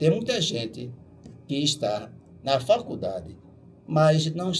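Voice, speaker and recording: Music plays in the background. A man speaks at a fairly slow pace with a fairly high pitch. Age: 80s+. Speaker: musician and bandleader. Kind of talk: radio interview. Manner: emphatic, exhortative.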